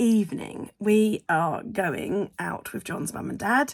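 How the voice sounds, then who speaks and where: This woman has a medium pitch and an English accent. Her voice shows vocal fry and ordinary pitch variation. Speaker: vlogger. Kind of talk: casual vlog talk. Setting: at home at her desk. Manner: hesitant, lots of ums; whispering.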